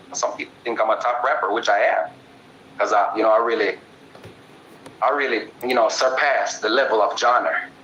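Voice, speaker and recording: A man speaks in a Jamaican accent at a moderate pace. Noticeable background noise is present. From Jamaica, Spanish Town. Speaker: dancehall and hip hop artist. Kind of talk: interview. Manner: animated.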